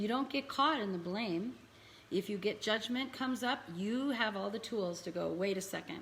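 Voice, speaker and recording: A woman with a fairly high pitch talks in an ordinary speaking voice at a moderate pace, with ordinary pitch variation. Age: 60s. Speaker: spiritual healing teacher. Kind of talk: live-stream talk. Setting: live online event.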